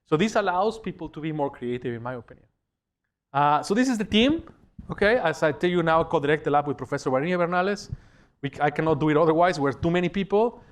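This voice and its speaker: This man talks at a very fast pace. His voice is fairly high, with lively intonation. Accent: Spanish. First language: Spanish. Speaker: professor. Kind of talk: lecture. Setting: lecture hall with audience. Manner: conversational, animated.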